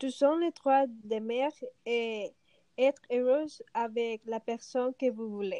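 A woman speaks at a very slow pace in a high pitch, her intonation fairly even. Her tone is dark and mellow, and the sound is dry and close with no echo. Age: 30s. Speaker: stay-at-home mother. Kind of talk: panel debate.

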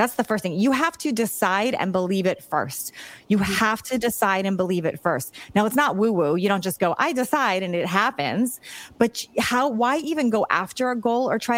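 Using an American accent, a woman talks at a fairly quick pace and fairly high pitch with lively intonation in an unremarkable speaking voice. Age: 50s. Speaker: fitness coach and author. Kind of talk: interview.

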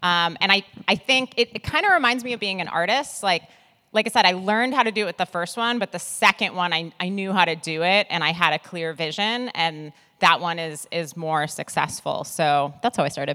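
With an American accent, a woman speaks fairly quickly at a medium pitch in a bright, sharp tone, the sound dry and close with no echo. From US Midwest. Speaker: artist manager and podcaster. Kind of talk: live panel discussion. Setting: stage with audience.

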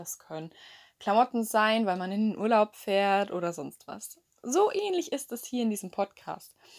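The recording is very clean, with a silent background. The pace is moderate, with ordinary pitch variation. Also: woman. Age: young. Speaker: podcaster. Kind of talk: casual monologue. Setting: lying in bed at home. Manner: chatty.

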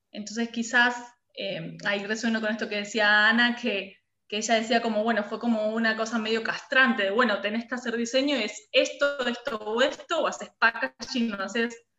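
Over music in the background, the speaker talks at a moderate pace with monotone, flat intonation. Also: woman, fairly high pitch for a woman. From Argentina, La Pampa (Santa Rosa). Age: 30s. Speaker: design studio director. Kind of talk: interview.

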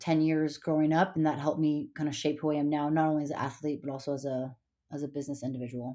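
A woman with an American accent speaks very fast in a very deep, low voice with a dark, mellow tone. Her intonation is monotone and flat, on a very clean recording with a silent background. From Montana, US. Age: 30s. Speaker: winemaker and CrossFit athlete. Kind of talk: podcast interview.

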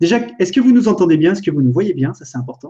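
A somewhat breathy male voice, dark and mellow in tone. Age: 30s. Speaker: entrepreneur and web video creator. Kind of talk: casual live stream chat. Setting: online live video stream.

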